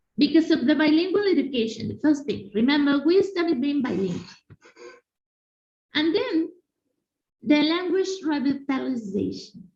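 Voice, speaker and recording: Speaking at a moderate pace with an audible room echo, a woman with a Spanish accent uses a high voice that swings very widely in pitch, broken by long, frequent pauses. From Mexico. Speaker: conference speaker, language educator. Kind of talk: conference presentation. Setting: video call. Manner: halting, with fillers.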